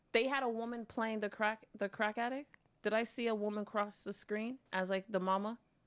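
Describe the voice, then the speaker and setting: Her voice is fairly high and flat in a monotone, moving at a moderate pace. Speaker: guest. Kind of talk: casual chat.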